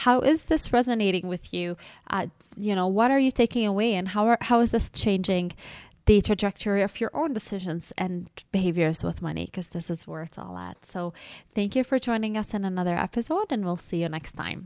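A woman with an ordinary speaking voice talks at a fairly quick pace, her medium pitch showing ordinary variation. Her loudness swings widely, and the recording is very clean with a silent background. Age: 30s. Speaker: podcast co-host and financial therapist. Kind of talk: casual educational chat.

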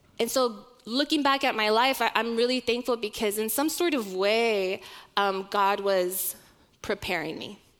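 Someone with an American accent talks in a normal speaking voice at a moderate pace with ordinary pitch variation, on a very clean recording with a silent background. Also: woman, fairly high pitch for a woman. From Oklahoma, US. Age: 30s. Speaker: church ministry director. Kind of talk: sermon.

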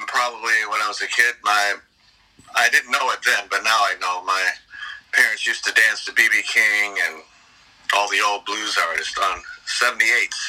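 With an American accent, a man talks at a moderate pace, breaking often with long pauses. Noticeable background noise runs underneath. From Detroit. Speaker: blues rock singer. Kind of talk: interview.

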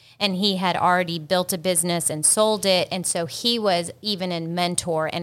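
On a very clean recording with a silent background, a woman with an ordinary speaking voice talks at a moderate pace and fairly low pitch with ordinary pitch variation. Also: hardly any pauses. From South Carolina.

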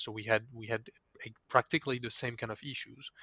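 In a French accent, the voice stays monotone, with flat intonation. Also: man. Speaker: legal tech executive. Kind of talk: interview. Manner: halting, with frequent repetitions.

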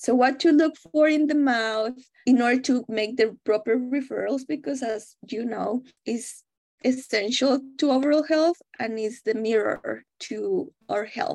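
Her voice high in pitch, a woman with a Spanish accent talks at a fairly slow pace with ordinary pitch variation. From Mexico. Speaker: dental public health researcher and instructor. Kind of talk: interview.

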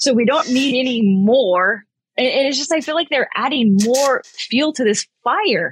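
A somewhat breathy woman at a fairly slow pace with lively intonation. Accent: American. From California, US. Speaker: executive protection agent and firearms instructor. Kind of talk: casual interview.

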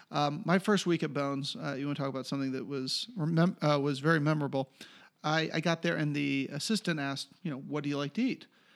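A man with an American accent and an ordinary speaking voice, fairly high in pitch, with ordinary pitch variation and a fairly quick pace, in a very clean recording with a silent background. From Pennsylvania, Philadelphia suburbs. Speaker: TV writer. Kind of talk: casual chat.

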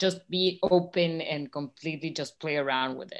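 Speaking fairly slowly, a woman with a Spanish accent and a fairly low voice sounds enthusiastic. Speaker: nonprofit co-founder supporting artists. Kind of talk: brand strategy work session.

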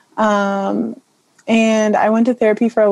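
In a dry, close recording with no echo, a woman speaks at medium pitch with a dark, mellow tone and fairly even intonation. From Morro Bay, California. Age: 21. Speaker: college student, former swimmer. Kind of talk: casual group discussion.

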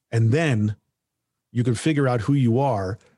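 The speaker is a man with a dark, mellow tone. His voice is somewhat breathy. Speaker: voiceover artist and podcast host. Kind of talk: casual interview conversation.

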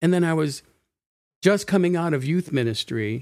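With a normal speaking voice and lively intonation, a man talks at a fairly quick pace on a very clean recording with a silent background. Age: 60s. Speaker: pastor. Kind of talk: casual chat.

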